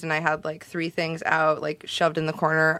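On a very clean recording with a silent background, a woman speaks with a Californian accent. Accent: general American, Californian. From US West Coast, Los Angeles (South Bay). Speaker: zine maker and journalist. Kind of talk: casual chat. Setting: studio.

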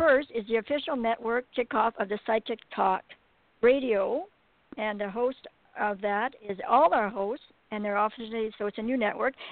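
In an ordinary speaking voice, a woman talks at a moderate pace, her pitch fairly high with ordinary variation. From Alberta, Canada. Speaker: radio host. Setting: phone call.

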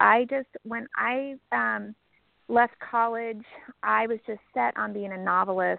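An American accent at a fairly slow pace. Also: woman. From northern California (Sutter Buttes farming area). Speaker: novelist. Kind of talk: interview.

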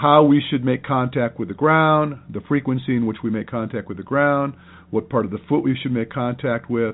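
With a normal speaking voice, a man talks at a moderate pace and a medium pitch with ordinary pitch variation. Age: 60s. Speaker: running podcast host, running coach. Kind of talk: interview.

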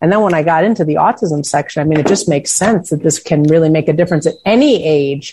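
Very fast, somewhat breathy speech has ordinary pitch variation. The loudness stays very even. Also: woman, very deep, low pitch for a woman. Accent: American. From Chicago, US Midwest. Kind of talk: interview.

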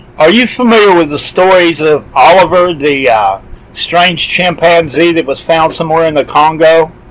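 A man talks at a moderate pace with a fairly high pitch. There is noticeable background noise. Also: ordinary pitch variation. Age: 50s. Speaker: podcast host. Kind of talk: interview.

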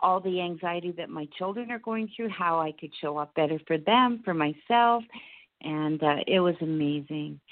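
This woman has an unremarkable speaking voice with a fairly low pitch. She keeps a moderate pace and ordinary pitch variation. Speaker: caller. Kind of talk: casual chat. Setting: phone call.

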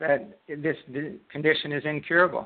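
A man with a fairly high voice keeps to a moderate speed as he talks. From Canada. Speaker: author and retired martial arts instructor with Parkinson's. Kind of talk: interview.

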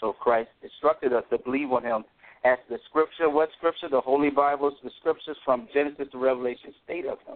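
At a fairly quick pace, a man talks in an unremarkable speaking voice, fairly high in pitch with ordinary pitch variation. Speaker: caller. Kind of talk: religious call-in testimony. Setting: phone call.

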